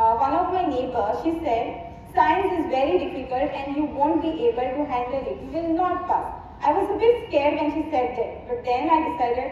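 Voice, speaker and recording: Someone talks at a moderate pace in a room with strong echo and light background noise. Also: woman, high pitch for a woman. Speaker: speaker. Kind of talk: speech. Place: stage.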